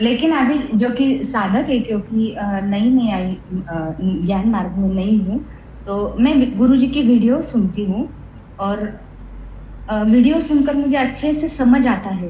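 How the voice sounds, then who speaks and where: With a Marathi accent, a woman talks in a fairly high voice with lively intonation, and audible room echo surrounds her. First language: Marathi (speaking Hindi). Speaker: spiritual seeker asking question. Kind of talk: satsang Q&A. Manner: halting.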